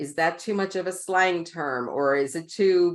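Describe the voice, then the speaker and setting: Against a quiet background, a woman with a New York accent speaks in an animated tone at a medium pitch. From New York, Queens. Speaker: author and communication coach. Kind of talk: podcast interview.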